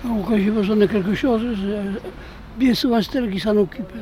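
A man talks at a moderate pace and high pitch with fairly even intonation. Noticeable background noise sits behind him. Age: 80s+. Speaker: retired truck driver, local resident. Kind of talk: street interview. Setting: outdoor market. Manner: halting.

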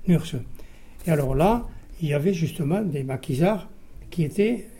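A man's fairly high voice with a dark, mellow tone, ordinary pitch variation and a fairly slow pace. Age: 80s+. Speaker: war veteran, former resistance fighter. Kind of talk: testimony.

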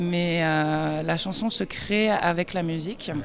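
A woman is speaking. Her pitch is fairly low. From France. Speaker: singer-songwriter. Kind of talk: radio interview. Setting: festival forum radio stand.

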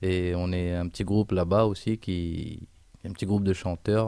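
A dark, mellow tone in a Réunion accent, monotone and flat in intonation, at a moderate pace. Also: man, very clean recording, silent background. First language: Réunion Creole (speaking French). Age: 20s. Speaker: musician. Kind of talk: radio interview.

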